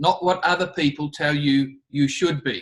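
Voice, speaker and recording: Speech comes at a fairly slow tempo, its pitch rising and falling in an ordinary way. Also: man. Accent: Australian. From Australia. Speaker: leadership trainer. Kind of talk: talk to students.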